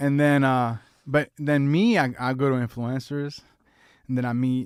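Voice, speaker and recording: A man with a medium pitch and a Spanish accent, at a moderate pace. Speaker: podcast co-host. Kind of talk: casual chat. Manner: animated.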